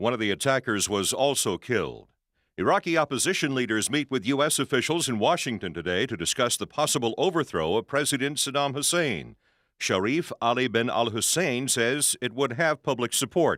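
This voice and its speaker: In a very clean recording with a silent background and a dry, close sound with no echo, a man with a medium pitch talks at a fairly quick pace, his intonation lively and his voice showing vocal fry. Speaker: radio news anchor. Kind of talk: radio news read.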